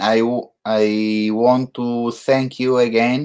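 A man's medium-pitched voice in an Italian accent, very slow and monotone, with flat intonation. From Italy. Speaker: photographer hosting an online live show. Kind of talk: casual interview. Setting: video call. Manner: halting.

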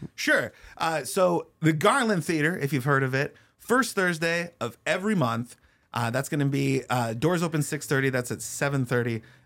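With an American accent, a man talks at a moderate pace in a plain, everyday voice with lively intonation. His pitch is fairly high, and the recording is very clean with a silent background. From US Pacific Northwest, Spokane. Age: 30s. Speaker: comedian. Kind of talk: casual interview.

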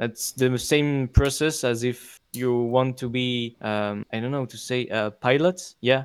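Fairly slow, fairly even speech with a non-native accent and hardly any pauses. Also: man, medium pitch for a man. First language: not English. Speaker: podcast host. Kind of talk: casual chat. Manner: hesitant, filler words.

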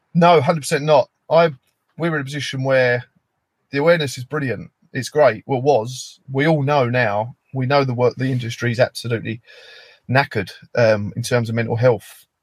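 A man with a British accent speaks at a fairly quick pace. His voice is somewhat breathy, with a dry, close sound and no echo. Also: medium pitch for a man, ordinary pitch variation. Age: 30s. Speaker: construction worker and charity founder. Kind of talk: interview.

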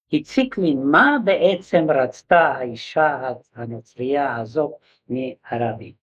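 Very wide pitch swings mark this man's voice. He speaks at a very slow pace. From Hungary. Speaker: Holocaust survivor. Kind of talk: testimony. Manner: halting.

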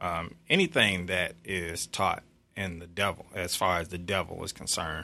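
A man with a very deep, low pitch and a bright, sharp tone speaks at a moderate pace in a monotone, flat intonation. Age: 40s. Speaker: guest, member of a religious-cultural movement. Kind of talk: casual interview conversation.

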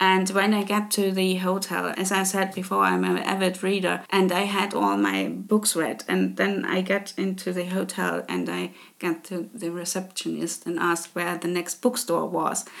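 A woman with a German accent at a moderate pace, hardly pausing at all. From Germany, Leipzig (Saxony). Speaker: podcast host. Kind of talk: casual monologue. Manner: hesitant with filler words.

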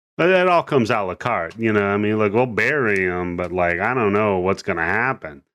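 A man with an ordinary speaking voice talks at a fairly quick pace with hardly any pauses. His pitch is fairly low with ordinary variation, over a quiet background. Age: 40s. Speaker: horror podcast host. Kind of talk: casual chat.

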